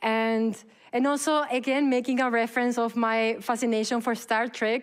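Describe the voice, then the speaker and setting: With a normal speaking voice, a woman talks at a fairly high pitch and a moderate pace, her intonation fairly even, in a very clean recording with a silent background. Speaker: event moderator. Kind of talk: event moderation. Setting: stage with audience.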